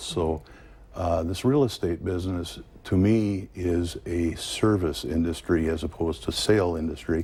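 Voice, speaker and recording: With an American accent, a man speaks at a fairly slow pace in a very deep, low pitch, his dark, mellow tone somewhat breathy and his pitch variation ordinary. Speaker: real estate agent. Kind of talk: interview. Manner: calm.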